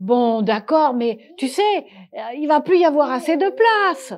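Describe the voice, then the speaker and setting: A woman uses a put-on character voice at a high pitch. She speaks at a fairly slow pace. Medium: read story.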